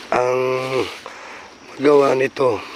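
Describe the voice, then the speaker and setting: Noticeable background noise sits behind a man speaking at medium pitch. His pace is fairly slow and his intonation monotone and flat. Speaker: paranormal vlogger. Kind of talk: vlog narration while exploring. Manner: halting with many fillers.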